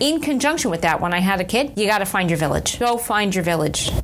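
A woman's medium-pitched voice with lively intonation, against noticeable background noise. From Long Island, New York. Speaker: medical malpractice lawyer. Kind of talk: interview.

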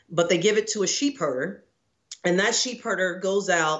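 A woman talks at a moderate pace in an unremarkable speaking voice with ordinary pitch variation. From Texas, Houston area. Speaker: screenwriter and actor. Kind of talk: interview.

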